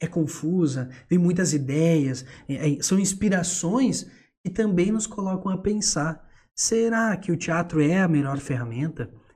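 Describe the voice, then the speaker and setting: Dark and mellow in tone, a man's high voice moves at a fairly slow pace with ordinary pitch variation. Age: 20s. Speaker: theatre teacher and entrepreneur. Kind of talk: casual chat.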